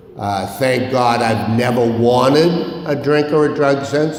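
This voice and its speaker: A man at a medium pitch talks with hardly any pauses, ordinary pitch variation and very even loudness. Room echo and noticeable background noise surround him. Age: 70s. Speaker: recovery meeting speaker. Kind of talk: recovery talk. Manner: animated.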